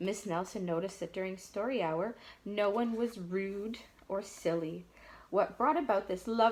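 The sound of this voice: It is an unforced reading voice. The pitch variation is ordinary.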